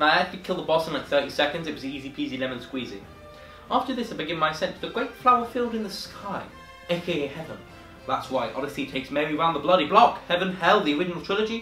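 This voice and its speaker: Against music in the background, a man speaks very fast at a high pitch with lively intonation. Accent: British. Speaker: video game reviewer. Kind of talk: comedic game review narration. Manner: sarcastic, jokey.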